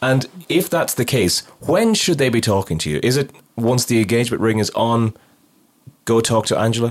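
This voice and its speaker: A man with an Irish accent at a medium pitch and moderate pace, with ordinary pitch variation and very even loudness. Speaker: podcast host. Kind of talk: casual interview.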